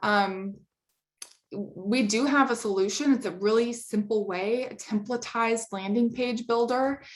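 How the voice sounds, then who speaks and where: With an ordinary speaking voice, a woman talks fairly slowly at a fairly high pitch and with fairly even intonation. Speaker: company presenter. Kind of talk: webinar presentation.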